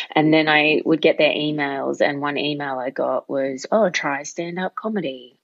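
With an Australian accent, a woman speaks at a moderate pace and a very deep, low pitch. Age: 30s. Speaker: stand-up comedian. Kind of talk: casual interview chat.

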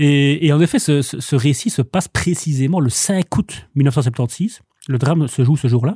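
A somewhat breathy man's voice, fairly high-pitched, with a dark, mellow tone, ordinary pitch variation and very even loudness, in a dry, close recording with no echo, very clean and set against a silent background. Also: fairly slow pace. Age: 40s. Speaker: bookseller. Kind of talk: casual chat. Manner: halting.

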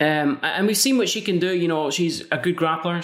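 With a Scottish accent, a man talks at a very fast pace. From Scotland. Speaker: MMA podcast host. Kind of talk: solo podcast preview and predictions.

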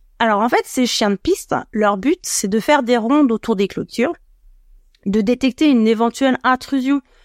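A woman's high-pitched voice with lively intonation comes through a very clean recording with a silent background, dry and close with no echo. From France, Annecy (Haute-Savoie). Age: 40s. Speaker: dog trainer and mantrailing coach. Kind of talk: interview.

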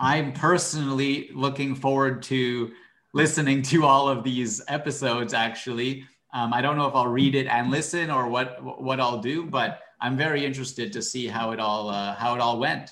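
Amid audible room echo, a man's bright, sharp tone carries fairly even intonation. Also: medium pitch for a man, moderate pace. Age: 20s. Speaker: podcast co-host in book discussion. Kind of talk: casual chat.

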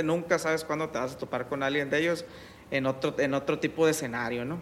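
A man's fairly high, normal speaking voice at a fairly quick pace with fairly even intonation. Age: 30s. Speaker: construction company manager. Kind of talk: interview conversation. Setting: at his home.

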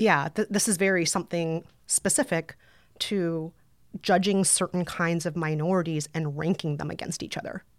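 In a very clean recording with a silent background, a woman with an American accent uses a plain, everyday voice, fairly low in pitch, at a moderate pace with fairly even intonation. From Brooklyn, US. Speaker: podcaster and author. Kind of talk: casual interview chat.

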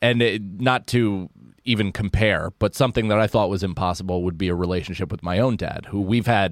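A man with a normal speaking voice, a fairly low pitch, an American accent and a moderate pace. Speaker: comedian. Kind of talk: casual chat. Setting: studio.

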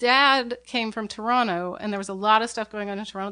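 A woman's medium-pitched voice, with fairly even intonation, is heard over a quiet background. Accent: American. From Portland, Oregon (Southwest Portland). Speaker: puppet fabricator. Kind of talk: casual chat. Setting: home.

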